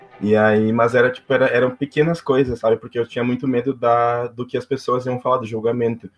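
Delivery is fairly quick, with hardly any pauses. The intonation is monotone and flat. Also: man, medium pitch for a man. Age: 20s. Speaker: civil engineer and youth club volunteer. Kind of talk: interview. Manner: halting.

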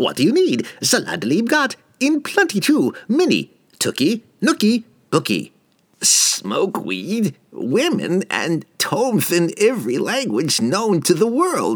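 At a fairly slow pace, a man puts on a character voice pitched high.

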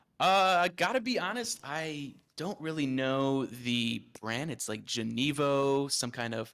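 A man with a medium pitch speaks in a bright, sharp tone, his pitch varying in an ordinary way. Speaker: content creator and podcaster. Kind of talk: casual podcast interview. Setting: video call. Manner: fast, fluent, rarely hesitates.

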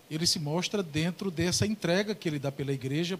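Here is a man with an ordinary speaking voice. His intonation is lively. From Paraíba, Brazil (Ingá). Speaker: pastor. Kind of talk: religious talk show discussion. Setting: studio.

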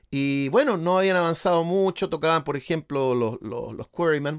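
The recording is very clean, with a silent background and a dry, close sound with no echo. In it, a man speaks at a fairly high pitch. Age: 50. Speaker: musician and Beatles expert. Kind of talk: casual chat.

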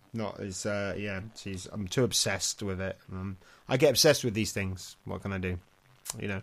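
Here a man with an English accent speaks at a fairly low pitch and a moderate pace. The recording is very clean, with a silent background. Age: 40s. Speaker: dog sport competitor. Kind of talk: casual chat.

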